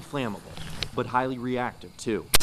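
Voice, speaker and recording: A man with a medium pitch talks at a fairly quick pace. Background noise is noticeable. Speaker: TV news reporter. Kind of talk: broadcast news reporter narration and stand-ups. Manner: energetic.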